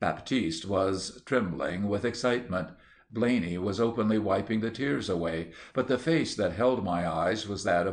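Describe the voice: The text is read out plainly. Nothing more than plain reading aloud is heard.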